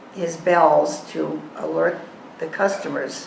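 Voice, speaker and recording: A woman with an American accent speaks in a fairly low pitch. Audible room echo and noticeable background noise come through. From Massachusetts, Boston area. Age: 80s. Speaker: assisted living resident sharing memories. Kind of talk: reading a prepared memoir aloud.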